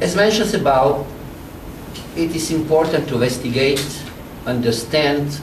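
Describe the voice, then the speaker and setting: With a Slovene accent, a man talks at a fairly high pitch with ordinary pitch variation, amid noticeable background noise and audible room echo. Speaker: public health radiation expert. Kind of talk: press briefing speech. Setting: press conference with audience. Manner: formal.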